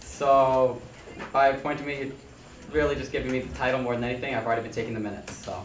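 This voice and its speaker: In a room with audible echo, a man speaks at a very fast pace, medium-pitched and with fairly even intonation. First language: French. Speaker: student senator, secretary nominee. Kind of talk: formal meeting Q&A. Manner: halting.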